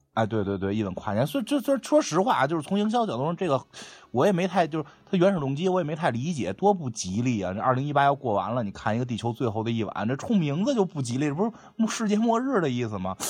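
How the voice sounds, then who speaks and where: Against a quiet background, a man talks in an animated tone at fairly high pitch, his voice making very wide pitch swings. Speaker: podcast co-host, film chat. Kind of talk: casual chat. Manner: animated, jokey.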